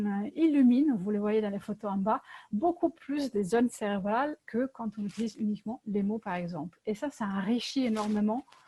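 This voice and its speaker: A woman's fairly high, somewhat breathy voice, dark and mellow in tone, with lively intonation at a moderate pace, dry and close with no echo. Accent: Italian. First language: Italian (speaking French). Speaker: LEGO workshop facilitator. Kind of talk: presentation. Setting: video call. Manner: hesitant, many fillers.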